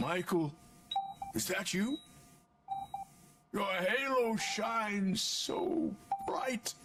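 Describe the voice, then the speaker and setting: In a put-on character voice, a man speaks very slowly with long, frequent pauses, his tone raspy and high-pitched. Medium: video game.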